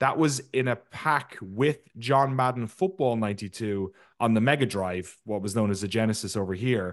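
A man with an Irish accent, medium in pitch, at a moderate pace with ordinary pitch variation. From Ireland. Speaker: video game documentary maker. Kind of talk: interview.

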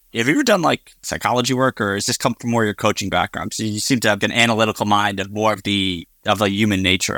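Very fast with hardly any pauses, a man's fairly low voice carries a bright, sharp tone and ordinary pitch variation in a dry, close sound with no echo on a very clean recording with a silent background. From US Northeast. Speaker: podcast host. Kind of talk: interview.

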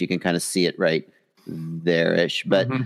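A man with an American accent speaks at a fairly quick pace. He has an unremarkable speaking voice. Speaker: drone hobbyist and video creator. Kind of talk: casual chat. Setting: live video call stream.

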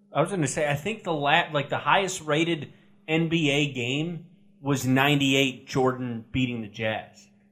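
A man with an American accent talks in a fairly high voice at a fairly slow pace. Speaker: sports podcast co-host. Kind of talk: casual chat. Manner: flat, deadpan.

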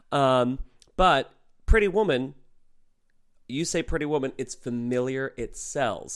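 A man speaks with long, frequent pauses and ordinary pitch variation on a very clean recording with a silent background. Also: fairly high pitch for a man. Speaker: drag performer. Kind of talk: casual chat.

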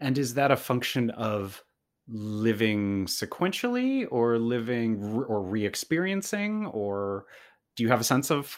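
A man of medium pitch in an ordinary speaking voice with lively intonation, in a very clean recording with a silent background. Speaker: theater podcast host. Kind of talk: interview.

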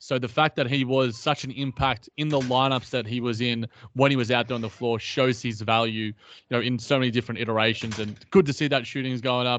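The speaker has an Australian accent and a fairly quick pace. The intonation stays fairly even. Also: man, medium pitch for a man. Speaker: basketball podcast co-host. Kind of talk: casual chat.

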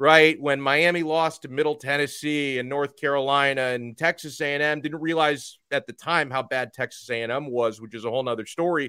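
The speech comes at a fairly quick pace with an American accent and a bright, sharp tone, and the sound is dry and close with no echo. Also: man. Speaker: college football podcaster. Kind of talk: casual sports chat, interview. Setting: streaming video call.

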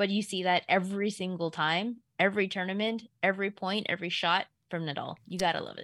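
Recorded very cleanly against a silent background, a woman talks at a fairly quick pace in an ordinary speaking voice with a medium pitch. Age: 30s. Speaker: sports betting analyst. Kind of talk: casual sports chat.

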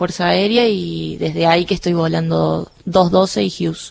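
A woman speaks with a Cordoban accent. Her pace is fairly slow. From Argentina, Córdoba city. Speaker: air force helicopter pilot. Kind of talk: radio interview. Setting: studio.

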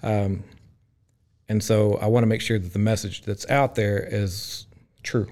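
A man with a Central Texas accent talks at a fairly slow pace and a fairly low pitch, with monotone, flat intonation and long, frequent pauses. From Texas, Groesbeck. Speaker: restaurant owner. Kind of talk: casual interview.

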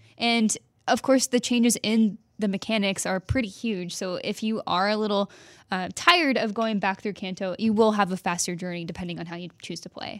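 With an American accent, a woman has a plain, everyday voice at medium pitch, talking at a fairly quick pace with ordinary pitch variation and big swings in loudness, in a very clean recording with a silent background and a dry, close sound with no echo. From Texas. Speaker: video game journalist. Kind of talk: casual chat.

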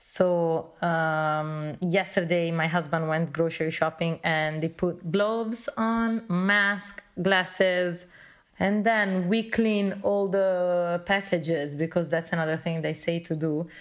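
Speaking at a very slow pace with hardly any pauses, a woman uses a fairly low pitch and fairly even intonation. She talks with an Italian accent. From Italy. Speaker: journalist. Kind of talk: interview. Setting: phone call. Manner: halting.

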